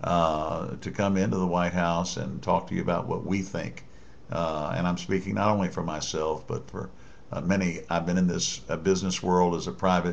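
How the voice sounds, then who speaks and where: With audible room echo, a man speaks at a moderate pace in a very deep, low voice. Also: ordinary pitch variation. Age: 60s. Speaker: political commentator. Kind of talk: political monologue addressed to the president. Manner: halting, many fillers and restarts.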